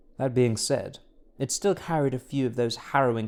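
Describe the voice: The text is read aloud plainly, and the pitch varies in an ordinary way.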